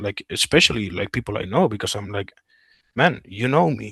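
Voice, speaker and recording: A man with a Spanish accent talks at a moderate pace in a fairly low voice with a bright, sharp tone. The sound is dry and close with no echo, over a quiet background. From Spain. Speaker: war veteran. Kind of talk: interview. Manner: halting, many fillers and restarts.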